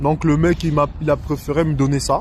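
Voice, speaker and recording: Moderate-paced speech from a man, set against clear background noise. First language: not French (speaking French). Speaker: religious community vlogger. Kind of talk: show-and-tell video. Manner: halting, hesitant.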